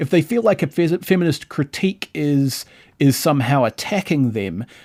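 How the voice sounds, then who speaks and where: Recorded very cleanly against a silent background with a dry, close sound and no echo, a man with a New Zealand accent makes very wide pitch swings. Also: fairly high pitch for a man, moderate pace. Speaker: podcast host. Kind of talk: casual chat.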